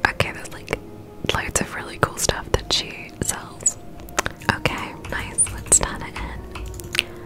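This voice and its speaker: A woman whispers at a very slow pace in a relaxed tone. Her loudness swings widely. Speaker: gaming ASMR streamer. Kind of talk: ASMR whispered gameplay commentary. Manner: whispered, soft, relaxed. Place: home room. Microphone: studio mic.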